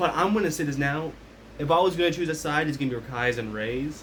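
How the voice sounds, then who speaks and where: A man at a very fast pace, with audible room echo. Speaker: commentary vlogger. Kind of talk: casual rant. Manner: loud.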